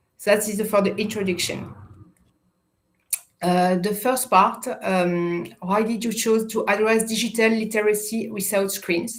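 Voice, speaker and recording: A woman speaks at a fairly slow pace in a fairly high pitch. Her intonation is monotone and flat, and the room echo is audible. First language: French. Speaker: youth education project manager. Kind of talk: prepared interview answers. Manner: halting, self-correcting.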